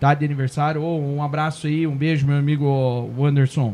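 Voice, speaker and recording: At a moderate pace, a man talks in a fairly high, somewhat breathy voice with a dark, mellow tone. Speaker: podcast host. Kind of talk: casual chat. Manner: animated, informal.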